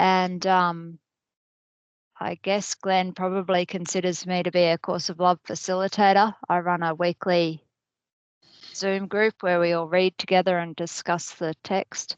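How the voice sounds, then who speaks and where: A woman with an Australian accent speaks at medium pitch and a fairly slow pace in monotone, flat intonation, with a quiet background and a dry, close sound with no echo. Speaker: spiritual group facilitator. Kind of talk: casual chat.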